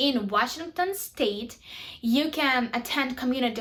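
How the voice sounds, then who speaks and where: Noticeable background noise sits under a woman speaking with a Ukrainian accent. Her high voice moves at a fairly slow pace with ordinary pitch variation. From Ukraine. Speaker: YouTuber. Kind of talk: tutorial.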